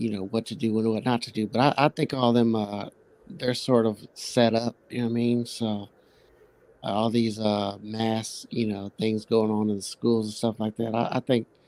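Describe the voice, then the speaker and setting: A man with a Midwestern accent, medium pitch, a dark, mellow tone, monotone, flat intonation and a moderate pace, in a dry, close sound with no echo. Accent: Midwestern country. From Kansas City. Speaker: guest on live stream. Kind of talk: casual chat. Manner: halting, many fillers.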